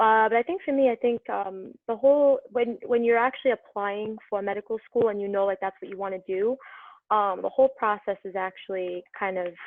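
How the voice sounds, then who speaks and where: With a New York accent, a woman talks at a fairly quick pace. Her fairly high pitch shows ordinary variation. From New York City (Brooklyn). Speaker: medical student. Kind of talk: casual chat.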